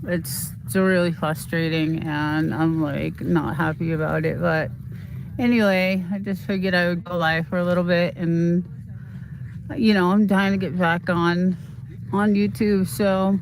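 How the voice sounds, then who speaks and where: A woman with a slight Boston accent speaks at a fairly slow pace in a fairly low voice. Her pitch varies in an ordinary way, and the room echo is audible. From Boston, US East Coast. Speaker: YouTuber livestreamer. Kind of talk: casual livestream chat. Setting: outdoors, walking on property. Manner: halting.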